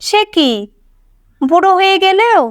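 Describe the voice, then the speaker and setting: Putting on a character voice, a woman speaks in an extremely high, squeaky tone with lively intonation. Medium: read story.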